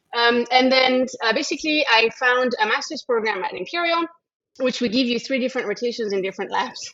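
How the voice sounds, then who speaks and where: Speaking at a fairly quick pace, a woman with a French accent uses a high pitch and ordinary pitch variation. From France. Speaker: microbiology researcher and lab head. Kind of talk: interview conversation.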